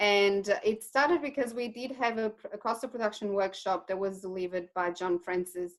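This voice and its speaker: A woman of medium pitch talks at a moderate pace with ordinary pitch variation. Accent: Portuguese. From Portugal. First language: Portuguese. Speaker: cattle farmer. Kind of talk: webinar presentation. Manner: hesitant with many fillers.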